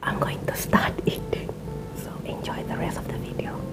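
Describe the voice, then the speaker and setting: A woman at a fairly slow pace amid loud background noise. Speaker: ASMR eating video host. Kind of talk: casual talk to camera. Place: home room.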